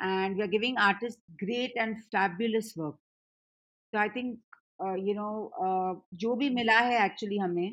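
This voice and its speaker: This woman has an ordinary speaking voice, fairly high in pitch with ordinary pitch variation. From Punjab, India. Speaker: music company CEO. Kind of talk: casual chat.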